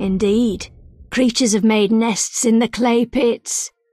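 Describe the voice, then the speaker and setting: In a dry, close recording with no echo, a woman uses a put-on character voice, fairly high-pitched, speaking fairly slowly in a flat monotone. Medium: video game. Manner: terse, cryptic.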